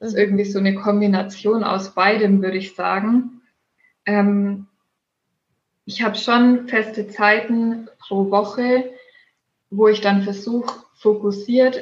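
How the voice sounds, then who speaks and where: A woman's somewhat breathy voice at a very slow pace, fairly even in intonation, with long, frequent pauses. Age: 20s. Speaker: yoga teacher and blogger. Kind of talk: podcast interview.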